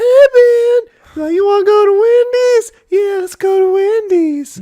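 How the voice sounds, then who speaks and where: A put-on character voice, squeaky and extremely high-pitched. It moves at a fairly slow pace. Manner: casual friendly.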